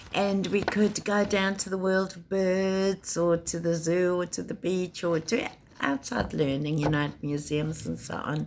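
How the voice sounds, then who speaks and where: A woman with a South African accent speaks at a fairly slow pace in a fairly low pitch, her intonation fairly even and with hardly any pauses. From South Africa, Cape Town. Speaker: teacher. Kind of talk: personal introduction talk.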